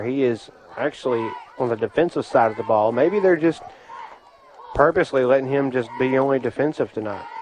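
A man talks with ordinary pitch variation while noticeable noise fills the background. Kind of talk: live high school football play-by-play radio commentary. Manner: folksy, conversational, steady play-by-play call with local color.

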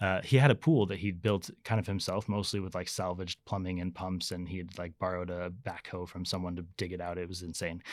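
A man's very deep, low voice at a fairly quick pace, fairly even in intonation, with hardly any pauses, on a very clean recording with a silent background. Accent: American. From US, Las Vegas. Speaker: battery engineer. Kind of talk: casual interview. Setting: studio. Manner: halting, many fillers.

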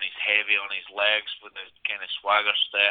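A fairly slow voice with a Scottish accent. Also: man. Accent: Scottish brogue. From Scotland. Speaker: mixed martial arts fighter. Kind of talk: interview.

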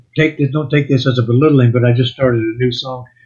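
This is a man with a fairly high pitch. His voice sounds somewhat breathy. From Louisiana. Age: 70s. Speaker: songwriter and musician. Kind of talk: podcast interview.

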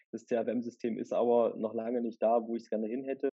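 Speaking very fast in a medium pitch, a man keeps a monotone, flat intonation. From Erfurt, Thuringia, Germany. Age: 30s. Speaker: head of municipal property office. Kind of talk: podcast interview.

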